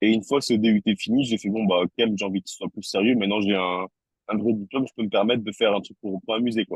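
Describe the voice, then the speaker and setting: Delivered at a very fast pace with fairly even intonation, the speech comes in a southern French accent. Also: man, fairly low pitch for a man. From southern France, Toulouse. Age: 30s. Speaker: tattoo artist. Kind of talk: interview. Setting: podcast. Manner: hesitant, many fillers and repetitions.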